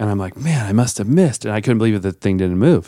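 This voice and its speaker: Against a silent background on a very clean recording, an ordinary speaking voice shows ordinary pitch variation. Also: man. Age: 40s. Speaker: podcast host. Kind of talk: casual chat. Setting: studio.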